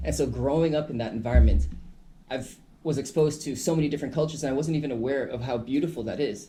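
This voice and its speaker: With vocal fry and a dark, mellow tone, a man talks at a very fast pace amid audible room echo. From Caribbean, Saint Martin. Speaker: hip hop artist. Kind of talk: radio interview.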